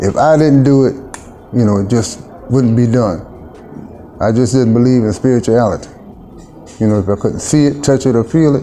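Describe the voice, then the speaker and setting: Over noticeable background noise, a man of medium pitch talks at a fairly quick pace with long, frequent pauses, very even loudness and ordinary pitch variation. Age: 60s. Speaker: mission worker, former client. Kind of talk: interview testimony.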